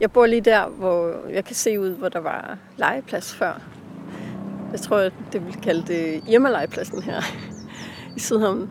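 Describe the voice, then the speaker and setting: A woman speaks at a medium pitch and a very slow pace, with long, frequent pauses. Her loudness swings widely, and background noise is noticeable. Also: ordinary pitch variation. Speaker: author. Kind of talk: casual interview. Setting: outdoors in a park. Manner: hesitant, many fillers.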